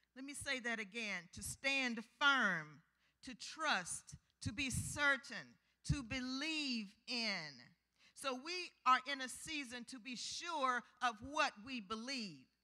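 A woman speaks in a raised, projected voice at a very slow pace. The background is quiet. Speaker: preacher. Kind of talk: sermon. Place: church. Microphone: handheld.

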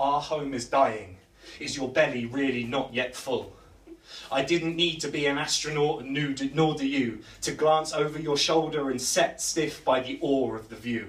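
A man speaks at a fairly slow pace with a fairly high pitch. His intonation stays fairly even, and the room echo is audible. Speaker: spoken word poet. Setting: stage with audience at a live poetry night. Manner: rhythmic, building urgency with internal rhymes and rhetorical questions; hesitant, filler-laden asides between poems. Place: bar. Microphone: camera far.

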